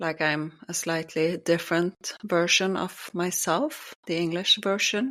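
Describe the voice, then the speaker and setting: A woman in a Norwegian accent, fairly low in pitch with ordinary pitch variation, at a fairly slow pace. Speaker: podcast co-host. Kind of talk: casual chat.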